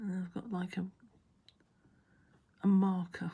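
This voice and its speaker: A woman mumbles in a put-on character voice at medium pitch. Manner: mumbling.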